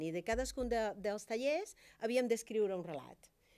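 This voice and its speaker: A woman with a Spanish accent speaks at a very slow pace in a fairly high pitch, with lively intonation. The background is quiet. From Cuba. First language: Spanish (speaking Catalan). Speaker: doctor and writer; guest. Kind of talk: talk show interview. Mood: warm, animated. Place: studio. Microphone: studio mic.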